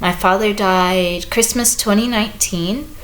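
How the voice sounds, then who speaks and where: A woman with an American accent at a very slow pace, medium pitch and ordinary pitch variation, amid noticeable background noise and audible room echo. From US Midwest, St. Louis. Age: 30s. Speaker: book reviewer and visual artist. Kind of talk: casual vlog talk to camera.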